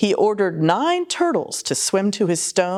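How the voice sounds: Reading voice, natural in quality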